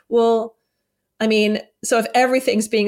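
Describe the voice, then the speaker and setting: A voice with an American accent, captured in a very clean recording against a silent background. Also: woman. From United States. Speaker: psychologist and author. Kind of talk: interview chat.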